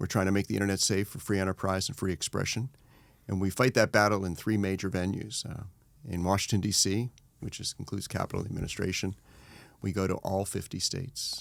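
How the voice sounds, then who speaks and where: The pace is fairly quick. A man talks here in a normal speaking voice. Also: very clean recording, silent background. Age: 60s. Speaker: trade association executive. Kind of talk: interview conversation.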